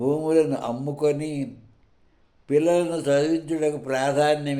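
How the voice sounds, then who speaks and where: Here a man speaks in a dark, mellow tone. His pitch sits fairly high. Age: 80s+. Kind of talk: speech.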